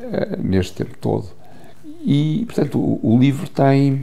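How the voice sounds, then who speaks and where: With audible room echo, a man talks very slowly. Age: 70s. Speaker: photographer. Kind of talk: interview. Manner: halting, with many repetitions and fillers.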